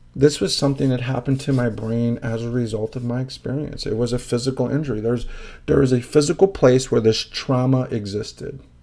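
A man speaks with a Chicago accent at a medium pitch, his tone dark and mellow and his intonation fairly even. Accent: Chicago American English. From Chicago, Illinois. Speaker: podcast host, social worker, former prisoner. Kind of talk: personal testimony monologue.

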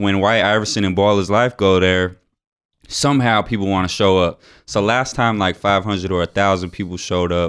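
An ordinary speaking voice from a man, fairly low in pitch and fairly quick, with fairly even intonation, on a very clean recording with a silent background. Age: 20s. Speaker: professional dunker. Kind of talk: casual chat. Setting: studio.

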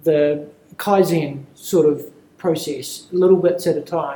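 With a New Zealand accent, a man speaks at a fairly high pitch with fairly even intonation, and audible room echo surrounds him. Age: 30s. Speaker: property management consultant. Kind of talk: casual interview. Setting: conference.

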